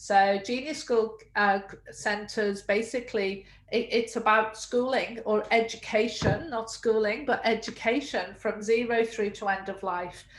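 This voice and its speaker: The speaker has a British accent, a fairly slow pace and fairly even intonation. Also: woman. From UK. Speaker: early childhood education entrepreneur. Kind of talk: webinar interview.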